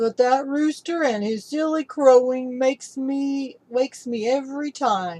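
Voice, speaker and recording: A woman uses a put-on character voice at a high pitch. She goes at a fairly slow pace. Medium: read story.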